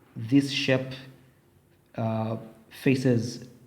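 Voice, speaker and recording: With audible room echo, a man speaks in a somewhat breathy voice at medium pitch and in a monotone, flat intonation. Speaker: teacher. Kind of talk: tutorial.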